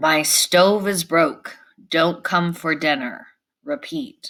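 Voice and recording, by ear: A woman puts on a raspy character voice with a fairly low pitch, speaking at a very slow pace.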